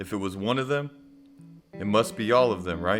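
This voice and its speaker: A man's fairly low-pitched voice over music in the background. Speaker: spoken word poet. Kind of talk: spoken word poetry over music. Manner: impassioned, confrontational.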